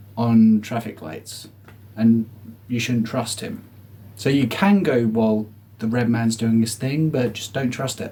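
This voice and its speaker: With long, frequent pauses, a man speaks fairly slowly at medium pitch in a dark, mellow tone. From southeast England. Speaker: comedian. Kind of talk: comedic monologue.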